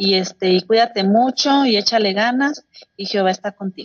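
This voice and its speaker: Speaking at a moderate pace, a woman with an unremarkable speaking voice uses a fairly high pitch that varies in an ordinary way. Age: 40s. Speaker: congregation member. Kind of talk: Bible study.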